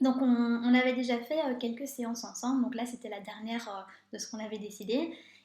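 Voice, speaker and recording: Loudness swings widely as a high-pitched woman speaks at a fairly quick pace with fairly even intonation, amid audible room echo. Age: 30s. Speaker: life coach. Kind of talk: live stream talk. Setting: live video stream. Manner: fast; hesitant, many filler sounds.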